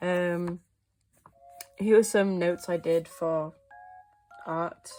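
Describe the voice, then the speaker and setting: A woman speaks with fairly even intonation while music plays in the background. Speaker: artist, animator. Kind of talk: casual talk to camera. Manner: hesitant, many fillers.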